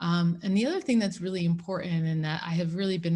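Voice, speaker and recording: A woman's fairly low, somewhat breathy voice with an American accent and ordinary pitch variation. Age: 40s. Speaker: lawyer and seminar speaker. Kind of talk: talk to students. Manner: hesitant, many fillers.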